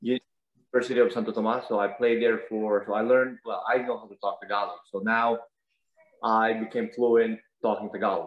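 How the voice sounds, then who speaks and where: Speaking at a fairly quick pace, a man with a medium pitch uses monotone, flat intonation while his loudness swings widely. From Philippines, Davao City, Mindanao. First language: Cebuano. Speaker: competitive shooter. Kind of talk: casual chat.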